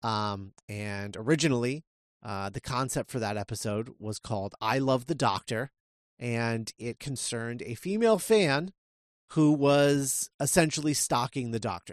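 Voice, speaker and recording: A man speaks at a medium pitch with ordinary pitch variation against a quiet background. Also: fairly slow pace. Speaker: podcast host. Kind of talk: casual chat. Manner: halting, many fillers.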